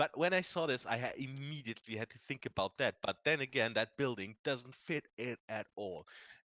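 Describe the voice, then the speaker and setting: A man with a German accent speaks at a moderate pace and a medium pitch, his intonation lively. His tone is bright and sharp, and the sound is dry and close with no echo. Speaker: video game content creator. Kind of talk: casual chat.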